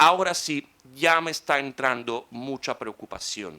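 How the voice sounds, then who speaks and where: Bright and sharp in tone, the voice moves with ordinary pitch variation. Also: man. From Italy. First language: Italian (speaking Spanish). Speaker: conference speaker. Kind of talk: conference talk.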